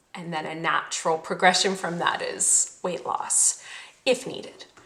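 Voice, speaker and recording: A woman at a fairly slow pace with big swings in loudness amid noticeable background noise. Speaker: podcast host and cookbook author. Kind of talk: podcast monologue. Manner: casual, chatty.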